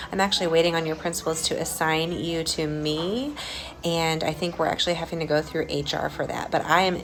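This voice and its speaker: Noticeable background noise surrounds a woman who speaks quietly. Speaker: school administrator. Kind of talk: video update to staff. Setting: school building. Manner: quiet, hushed; hesitant, many fillers.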